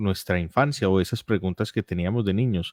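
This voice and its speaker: In a very clean, dry, close recording with a silent background and no echo, a man with an Antioquian accent speaks at a moderate pace in a fairly low voice with ordinary pitch variation. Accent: paisa (Antioquia). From Colombia, Medellín (paisa). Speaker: philosopher, lawyer with a doctorate. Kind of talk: interview.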